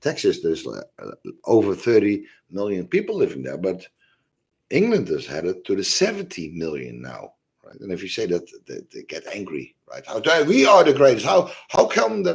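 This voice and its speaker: A man with a Dutch accent at a moderate pace, with big swings in loudness. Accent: obvious Dutch. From Netherlands. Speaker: religious and history video host. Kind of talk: casual monologue livestream. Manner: halting, many fillers.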